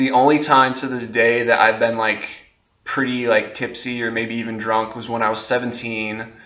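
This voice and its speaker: Delivered at a moderate pace, the bright, sharp voice stays flat and monotone while the room echo is clearly audible. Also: man. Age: 20s. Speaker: vlogger. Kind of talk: casual monologue to camera. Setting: talking on camera. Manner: hesitant, many fillers.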